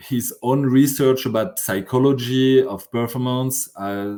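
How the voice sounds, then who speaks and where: A man with a French accent talks at a medium pitch in a dark, mellow tone, his intonation fairly even. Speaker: sociology professor and conference organizer. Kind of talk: podcast interview. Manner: halting, many fillers and restarts.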